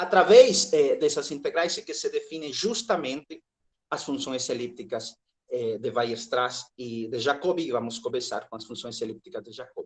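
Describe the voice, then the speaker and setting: Loudness swings widely while the talking holds a moderate pace. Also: man. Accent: Spanish. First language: Spanish (speaking Portuguese). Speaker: mathematics professor. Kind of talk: lecture. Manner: hesitant, frequent filler sounds.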